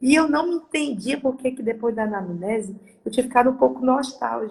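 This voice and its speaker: A woman speaks at a moderate pace in a high voice. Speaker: participant in a live session. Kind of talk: personal testimony. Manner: halting, with repetitions.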